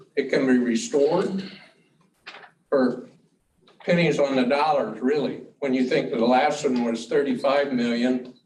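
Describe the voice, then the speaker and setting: A man with an American accent at a medium pitch, fairly slow with long, frequent pauses, ordinary pitch variation and audible room echo. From Ohio, US Midwest. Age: 70s. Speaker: public commenter at school board meeting. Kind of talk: public comment speech. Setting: board meeting room with audience. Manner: animated.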